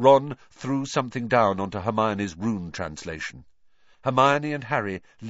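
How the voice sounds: The voice is a natural reading voice. It reads the text in a natural reading voice.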